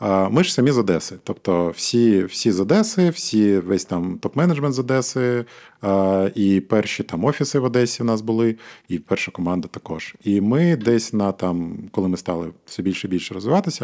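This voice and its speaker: Over a quiet background, a man with a fairly low pitch speaks at a moderate pace with lively intonation. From Ukraine, Odesa. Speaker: digital agency co-founder. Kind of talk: casual interview chat.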